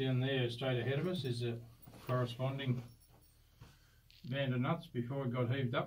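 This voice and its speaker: A somewhat breathy, monotone voice with flat intonation, a moderate pace and very even loudness over light background noise. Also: man. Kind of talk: explanatory tour talk. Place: tunnel cave. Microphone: phone near.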